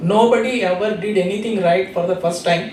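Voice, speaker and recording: The speech has a moderate pace and ordinary pitch variation, with audible room echo and noticeable background noise. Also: man. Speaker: invited speaker. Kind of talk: motivational talk. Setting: stage with audience.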